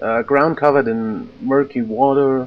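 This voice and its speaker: At a fairly slow pace, a man with a German accent speaks in a fairly high pitch. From Austria. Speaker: let's play gamer. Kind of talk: gameplay commentary reading in-game letter aloud. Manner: halting, many filler sounds.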